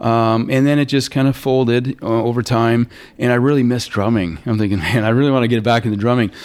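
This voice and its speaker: Using an unremarkable speaking voice, a man talks at a medium pitch with ordinary pitch variation. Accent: Canadian. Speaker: student counselor and musician. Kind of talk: interview.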